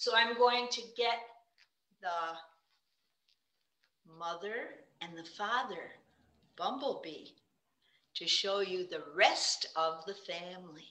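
A woman with a medium pitch speaks at a very slow pace, pausing long and often, her loudness swinging widely. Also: ordinary pitch variation. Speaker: puppeteer. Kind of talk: children's puppetry presentation. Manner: friendly, teacherly.

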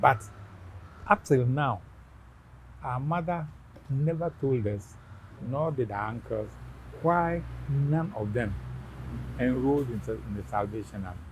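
A man's somewhat breathy, medium-pitched voice, fairly slow with long, frequent pauses and very wide pitch swings, dry with no echo over light background noise. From Ghana. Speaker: interview guest. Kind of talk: family interview. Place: garden. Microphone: lapel.

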